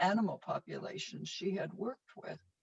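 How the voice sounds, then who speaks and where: A woman speaks with an American accent at a fairly slow pace. Her voice is somewhat breathy. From Minnesota, US Midwest. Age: 70s. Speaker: resilience trainer. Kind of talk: casual chat.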